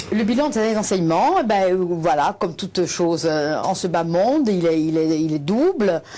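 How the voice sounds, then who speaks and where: A woman of medium pitch speaks at a moderate pace with lively intonation and hardly any pauses. Noticeable background noise is present. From Corsica, Bastia. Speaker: teacher and activist. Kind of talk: TV interview. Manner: halting, many hesitations.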